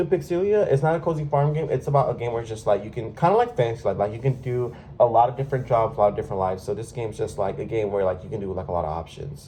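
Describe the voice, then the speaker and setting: A man's somewhat breathy voice, dark and mellow in tone, swings very widely in pitch. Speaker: gaming YouTuber. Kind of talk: casual chat. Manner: halting.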